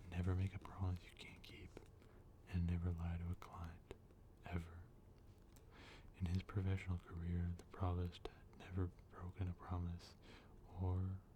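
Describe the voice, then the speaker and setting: The speaker is soft-spoken. Long, frequent pauses run through the speech. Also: moderate pace. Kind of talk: novel reading.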